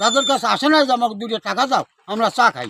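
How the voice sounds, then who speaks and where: The man's voice sits at an extremely high pitch, bright and sharp in tone. The sound is dry and close, with no echo. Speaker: local resident. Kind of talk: street interview. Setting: outdoors.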